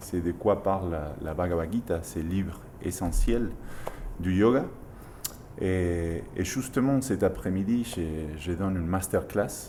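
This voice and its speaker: In a strong Argentine accent, a man with a very deep, low pitch speaks very slowly, pausing long and often. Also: ordinary pitch variation. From Argentina. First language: Spanish (speaking French). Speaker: yoga teacher. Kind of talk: interview.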